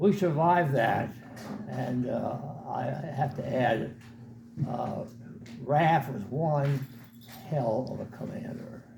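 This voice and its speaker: Noticeable background noise and audible room echo behind a man's voice. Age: 80s+. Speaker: war veteran. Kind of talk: talk to an audience. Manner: halting.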